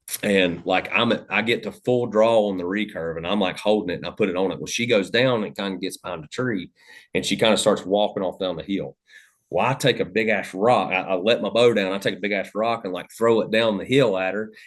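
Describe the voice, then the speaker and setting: The speaker has an Appalachian accent. The pace is fairly quick, with ordinary pitch variation. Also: man, fairly low pitch for a man. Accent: Southern US (Appalachian). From US South, Western North Carolina. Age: 30s. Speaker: hunting podcast host, guest. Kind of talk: casual chat, storytelling. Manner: loud.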